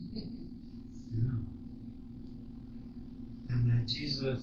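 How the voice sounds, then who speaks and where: This is a man speaking. There is noticeable background noise. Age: 80s+. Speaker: former missionary. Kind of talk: interview answer. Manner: humorous, reminiscing.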